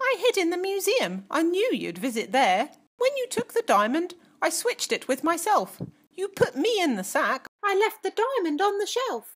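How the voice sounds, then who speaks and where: A female-sounding put-on character voice, extremely high in pitch, at a moderate pace with very wide pitch swings. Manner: confident, brisk.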